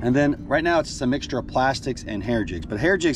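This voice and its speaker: A man's voice, dry with no echo, over clear music in the background. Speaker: fishing guide. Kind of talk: casual vlog chat. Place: boat. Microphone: phone near.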